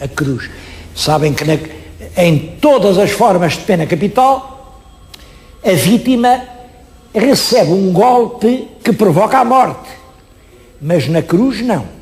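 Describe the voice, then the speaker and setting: A high-pitched man at a very slow pace, lively in intonation, with long, frequent pauses and noticeable background noise. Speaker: historian and TV presenter. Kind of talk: TV history presentation. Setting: on location at an exhibition. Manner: expressive, emphatic.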